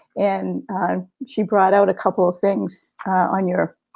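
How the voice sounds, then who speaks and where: A woman speaks with a Boston accent. Her pace is moderate. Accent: Boston accent, drops R. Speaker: guest co-host of spiritual book discussion. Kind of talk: casual discussion webinar. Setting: live webinar. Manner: halting, many fillers.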